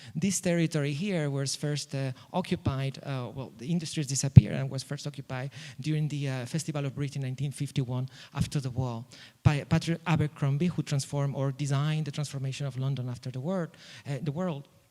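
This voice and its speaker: In a non-native accent, the voice moves at a very fast pace with a dark, mellow tone and fairly even intonation on a very clean recording with a silent background. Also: man, fairly high pitch for a man. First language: not English. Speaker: architect. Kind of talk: conference presentation. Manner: halting, many fillers and repetitions.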